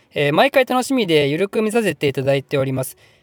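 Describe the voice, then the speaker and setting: A man talks very fast in an animated tone with very wide pitch swings. The sound is dry and close, with no echo. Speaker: history YouTuber. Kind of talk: casual Q&A video monologue. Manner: casual, rambling; animated, chatty.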